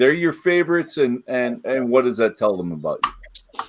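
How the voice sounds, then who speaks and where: An ordinary speaking voice, a man with a Canadian accent talks at a moderate pace with a fairly high pitch and lively intonation. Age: 60s. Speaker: web show host. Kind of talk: casual chat.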